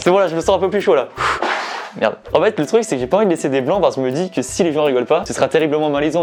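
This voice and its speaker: Over music in the background, a man with a fairly high pitch races along at a very fast pace with ordinary pitch variation. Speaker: YouTuber. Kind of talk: casual vlog with stand-up rehearsal. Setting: cellar. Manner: low energy.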